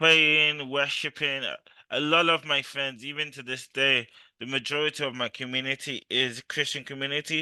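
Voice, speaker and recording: Loud and bright with a sharp tone, a man speaks in a fairly high pitch. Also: quiet background. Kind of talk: interview.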